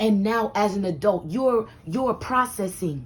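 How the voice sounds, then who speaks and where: Fairly high-pitched, somewhat breathy woman with lively intonation. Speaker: life advice vlogger. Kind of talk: motivational monologue. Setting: home room. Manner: animated.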